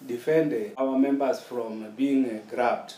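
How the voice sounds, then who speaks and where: With audible room echo around him, a man speaks at a fairly slow pace with ordinary pitch variation. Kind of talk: interview answer. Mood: calm, reflective, occasional laugh. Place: home room.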